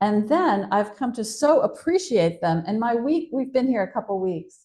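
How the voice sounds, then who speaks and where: The voice has a dark, mellow tone, somewhat breathy, in an American accent. It moves at a moderate pace with very wide pitch swings. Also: woman, fairly high pitch for a woman. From USA. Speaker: novelist. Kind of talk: interview conversation. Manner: animated.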